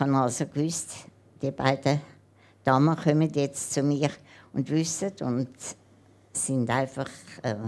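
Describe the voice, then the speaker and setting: A woman with a very deep, low pitch and a dark, mellow tone talks at a very slow pace with fairly even intonation. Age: 80s+. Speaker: woman planning assisted suicide. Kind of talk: interview on stage.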